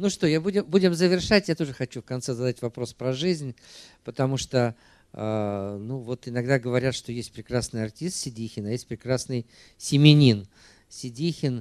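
A man talks at a moderate pace with lively intonation. The background is quiet, and the sound is dry with no echo. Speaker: film club host; moderator of the film club meeting. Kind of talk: public Q&A moderation. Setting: stage with audience. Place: hall. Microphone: handheld.

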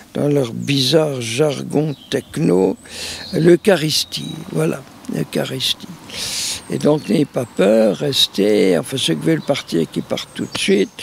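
A man speaks at a very slow pace with very wide pitch swings. Light background noise sits under a dry sound with no echo. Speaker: priest. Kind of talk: interview answer, storytelling. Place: garden.

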